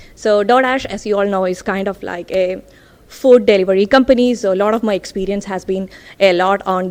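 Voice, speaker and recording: A woman talks at a fairly quick pace. Her pitch is fairly high with ordinary variation. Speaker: data scientist. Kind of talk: tech talk. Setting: stage with audience. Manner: loud.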